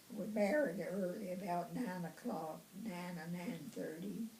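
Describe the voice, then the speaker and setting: In a Southern US accent, a woman with a medium-pitched voice speaks at a fairly slow pace with lively intonation. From Tennessee, USA. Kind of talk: interview answer. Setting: home.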